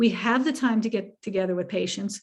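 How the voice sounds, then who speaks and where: Somewhat breathy and fairly high in pitch, a woman talks at a fairly quick pace. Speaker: family medicine physician. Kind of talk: lecture Q&A.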